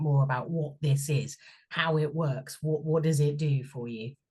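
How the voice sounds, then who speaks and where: A woman's very deep, low voice, somewhat breathy, with a slight Bristol accent, fairly even intonation and a moderate pace. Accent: slight Bristol twang. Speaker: sound and shamanic healing therapist. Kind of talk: interview.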